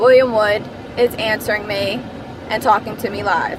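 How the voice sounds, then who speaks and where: A woman speaks at a fairly slow pace with a fairly high pitch and fairly even intonation, with noticeable background noise behind her. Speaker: vlogger. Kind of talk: casual vlog monologue. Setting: in a car. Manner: loud, projecting.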